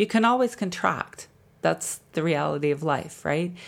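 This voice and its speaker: In a Canadian accent, a woman speaks at a fairly slow pace with lively intonation on a very clean recording with a silent background. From Canada, Alberta (Jasper). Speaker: body-mind therapist and podcast host. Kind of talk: casual solo talk about wellness.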